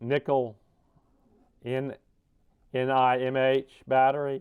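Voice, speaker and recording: The speaker is a man. He mumbles. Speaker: RC hobbyist, deaf. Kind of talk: casual unboxing talk. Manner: mumbling.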